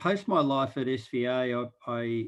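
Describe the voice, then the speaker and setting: A man with an Australian accent speaks very slowly at a medium pitch with ordinary pitch variation. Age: 60s. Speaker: impact investor and board chair. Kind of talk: panel discussion.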